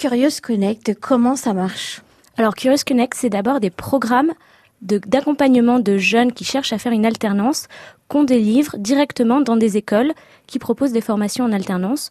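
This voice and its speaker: A woman speaks at a fairly high pitch with ordinary pitch variation, recorded dry and close with no echo. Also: moderate pace. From France, Seine-Saint-Denis. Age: 20s. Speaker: start-up founder. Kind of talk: radio interview. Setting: radio studio. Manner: hesitant, many fillers.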